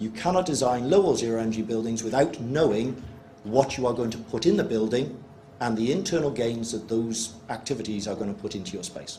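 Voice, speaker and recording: The speaker has a British accent and talks at a fairly quick pace. Noticeable background noise and audible room echo are present. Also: man. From UK. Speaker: energy researcher presenting at workshop. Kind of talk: presentation to workshop audience. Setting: workshop room with live audience. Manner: fast.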